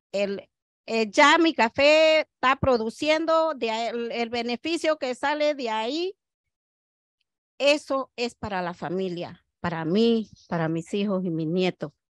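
Pitch swings very widely as the voice moves at a very slow pace. The background is quiet. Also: woman, fairly high pitch for a woman. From Panama. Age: 60s. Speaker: coffee farmer. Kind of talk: interview. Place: garden. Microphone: handheld.

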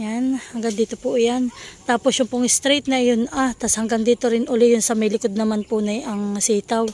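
A woman speaks at a moderate pace with a fairly high pitch and fairly even intonation. The sound is dry and close with no echo, with noticeable background noise. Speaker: farming vlogger. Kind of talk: casual vlog narration. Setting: outdoors at a farm.

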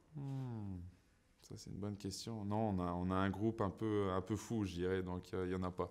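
The speech runs at a moderate pace with fairly even intonation. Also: man, very deep, low pitch for a man. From Saint-Pierre-et-Miquelon. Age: 30s. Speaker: professional ice hockey player. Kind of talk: interview answers. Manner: hesitant, many fillers and repetitions. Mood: relaxed, smiling. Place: studio.

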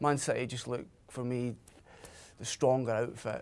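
Fairly even intonation in a man's voice. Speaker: panelist. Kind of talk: TV panel commentary. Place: studio. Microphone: lapel.

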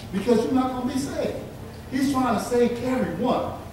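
Strong room echo and noticeable background noise surround a man speaking at an extremely high pitch. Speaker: preacher. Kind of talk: sermon. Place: church.

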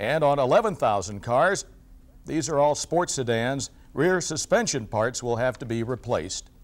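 In a normal speaking voice of medium pitch, a man speaks at a fairly slow pace with lively intonation. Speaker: business reporter. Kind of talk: formal TV newsreading, business report. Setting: TV studio newscast. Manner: formal; brisk, even, professional delivery.

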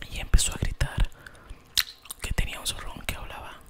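Whispering, a man speaks at a moderate pace. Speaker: ASMR storyteller. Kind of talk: fairy tale narration. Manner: soft, whispered, relaxing. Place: home room. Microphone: studio mic.

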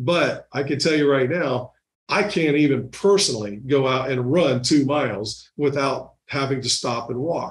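Against a quiet background, a man speaks at a moderate pace in a fairly high pitch. His voice is somewhat breathy, with ordinary pitch variation. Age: 50s. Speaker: real estate team leader; podcast guest. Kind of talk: casual interview. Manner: halting, repeats words. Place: office. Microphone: studio mic.

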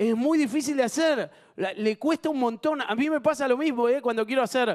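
A man against a quiet background. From Argentina. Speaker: TV game show host. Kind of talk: live TV game show hosting. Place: studio. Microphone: handheld.

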